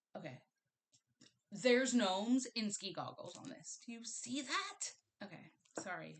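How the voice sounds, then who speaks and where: The speaker talks at a fairly slow pace, with big swings in loudness, very wide pitch swings, and long, frequent pauses. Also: woman. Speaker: cross-stitch hobbyist. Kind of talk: casual talk to camera. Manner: casual, rambling.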